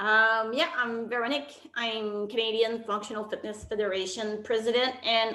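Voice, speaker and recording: A woman speaks with a Quebec accent at a fairly high pitch, her tone bright and sharp. Room echo is audible. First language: French. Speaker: sports federation president. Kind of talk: online briefing.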